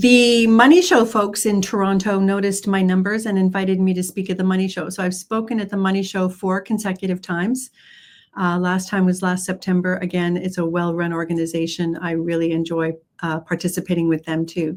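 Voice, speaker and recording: A woman with a Canadian accent in an ordinary speaking voice, medium in pitch, at a fairly quick pace with fairly even intonation, on a very clean recording with a silent background. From Canada. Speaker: trading educator. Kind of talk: conference presentation.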